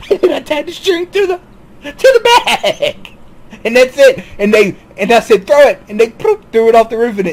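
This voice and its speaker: At a moderate pace, the speaker uses very wide pitch swings with an American accent. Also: man, extremely high pitch for a man. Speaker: YouTube commentator. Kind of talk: monologue commentary. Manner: halting, repetitive.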